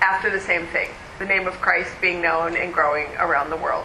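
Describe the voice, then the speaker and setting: Animated in tone, this woman is heard amid noticeable background noise and audible room echo. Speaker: conference speaker. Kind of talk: conference talk.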